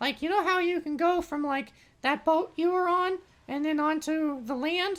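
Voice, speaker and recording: A put-on character voice, high in pitch, moves along at a moderate pace. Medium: actual play. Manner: hesitant, rambling, friendly.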